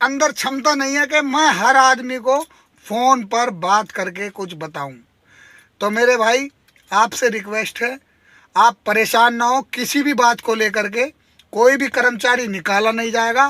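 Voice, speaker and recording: In a dry, close sound with no echo, a man with an extremely high, bright and sharp voice speaks very slowly in a raised, projected voice. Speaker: transport workers' union activist and video blogger. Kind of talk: video update to fellow workers. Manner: impassioned, emphatic.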